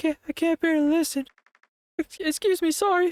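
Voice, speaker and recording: Doing a put-on character voice, a woman squeaks at an extremely high pitch with fairly even intonation, very even loudness and a moderate pace, the sound dry and close with no echo. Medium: game stream. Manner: hesitant, soft.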